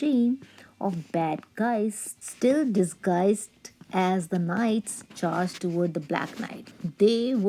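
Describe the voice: Plain reading aloud, pitch shifting in an ordinary way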